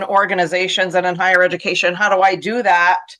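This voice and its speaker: The speaker is a woman with a medium pitch. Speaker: education consultant and author. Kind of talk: webinar presentation. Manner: fast.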